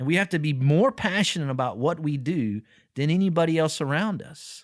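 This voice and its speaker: A man with a fairly high pitch talks with an energetic tone and lively intonation, the sound dry and close with no echo. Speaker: podcast host. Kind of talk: podcast discussion. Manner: loud, energetic; repetitive, halting restarts.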